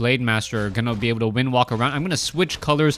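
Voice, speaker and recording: A man is speaking. His pitch is medium, with ordinary variation. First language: Mandarin, then Cantonese. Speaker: esports caster. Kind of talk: live game commentary. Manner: fast, fluent.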